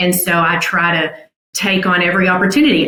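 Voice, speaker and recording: Audible room echo around a woman's voice of medium pitch, its pitch varying in an ordinary way. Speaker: property management executive. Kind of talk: podcast interview, faith testimony. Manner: loud; animated.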